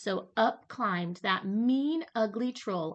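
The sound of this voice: The speaker reads in an unforced voice, and the intonation stays lively throughout.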